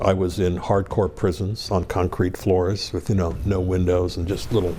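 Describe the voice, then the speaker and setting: Over noticeable background noise, a man with an American accent and a very deep, low pitch speaks at a moderate pace. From northeastern Pennsylvania, US. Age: 70s. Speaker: former hostage, diplomat. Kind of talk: interview.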